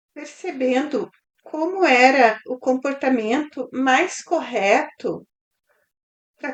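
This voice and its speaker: A high-pitched woman with ordinary pitch variation. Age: 40s. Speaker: mentor. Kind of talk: testimony.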